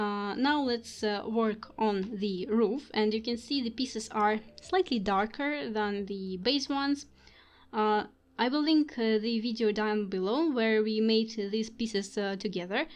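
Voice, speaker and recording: A woman talks at a fairly slow pace in a fairly high voice with ordinary pitch variation. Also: quiet background. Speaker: craft video maker. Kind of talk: tutorial; casual chat. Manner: halting.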